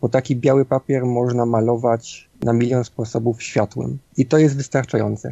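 A man talks in a flat monotone at a very even loudness, hardly pausing at all. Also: medium pitch for a man, moderate pace. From Silesia, Poland (Bytom). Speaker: indie game developer and architectural visualiser. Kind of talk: interview. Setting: home studio. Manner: halting.

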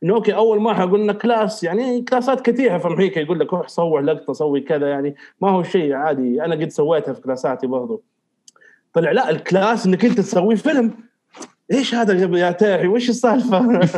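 A man talks at a fairly quick pace in a high pitch. His intonation is lively. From Saudi Arabia, Riyadh. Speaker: filmmaker. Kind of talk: casual chat.

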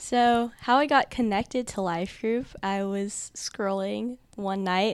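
A woman with a medium-pitched voice speaks very slowly, with hardly any pauses and ordinary pitch variation. The recording is very clean, with a silent background. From Texas, Dallas. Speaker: college student. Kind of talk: testimony.

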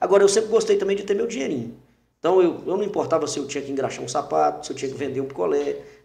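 Audible room echo surrounds a man talking at a very fast pace. His fairly high voice has lively intonation. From Brazil, Teófilo Otoni, Minas Gerais. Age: 40s. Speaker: radio announcer and journalist. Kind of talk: casual interview.

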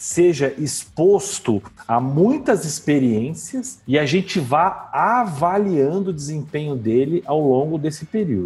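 Music plays in the background as a man speaks. His pitch swings very widely and his pace is very slow. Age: 40s. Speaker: HR director. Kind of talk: casual interview.

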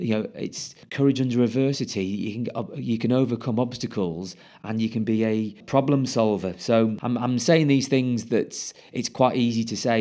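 A man with a British accent, a dark, mellow tone and fairly even intonation, hardly any pauses, against a quiet background. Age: 40s. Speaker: ex-military commercial director. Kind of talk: casual interview.

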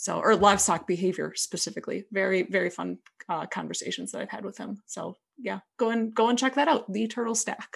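A woman with vocal fry at a fairly high pitch, fairly quick pace, ordinary pitch variation, and big swings in loudness. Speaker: podcaster guest. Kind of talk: casual interview chat.

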